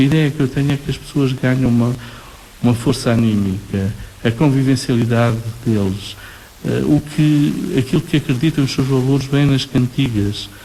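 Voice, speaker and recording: A man talks at a moderate pace, with noticeable background noise present throughout. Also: medium pitch for a man, ordinary pitch variation. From Portugal, Nazaré. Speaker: professor. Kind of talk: radio interview.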